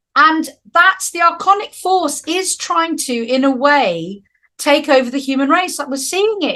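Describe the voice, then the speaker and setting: With lively intonation and a bright, sharp tone, a woman speaks at a fairly slow pace. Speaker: spiritual teacher. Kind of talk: spiritual talk.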